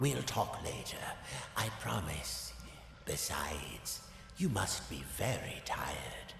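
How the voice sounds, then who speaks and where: A man performs a put-on character voice at a fairly slow pace. There is a clear echo and loud background noise. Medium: video game. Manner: smooth, measured.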